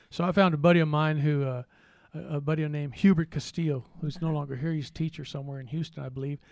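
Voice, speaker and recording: With an American accent, a man speaks very fast at a fairly high pitch, his intonation fairly even, on a very clean recording with a silent background. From Texas. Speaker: retired phone company worker and municipal judge. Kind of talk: interview. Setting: studio. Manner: halting, many fillers.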